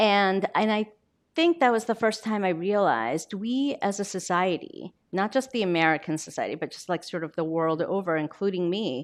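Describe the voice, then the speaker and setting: Against a quiet background, a woman with a Korean accent speaks at medium pitch and a moderate pace with lively intonation. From Korea, then Baltimore from age eleven. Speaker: novelist. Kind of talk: author talk, onstage interview. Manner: conversational, with fillers.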